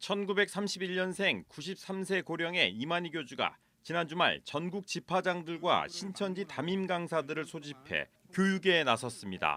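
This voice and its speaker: A man with a high pitch and a bright, sharp tone speaks at a moderate pace with ordinary pitch variation. The recording is very clean, with a silent background. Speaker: news reporter. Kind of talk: TV news report.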